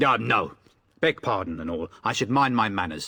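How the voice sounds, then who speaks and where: A man's growling, put-on character voice at medium pitch and a moderate pace. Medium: video game. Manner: gruff.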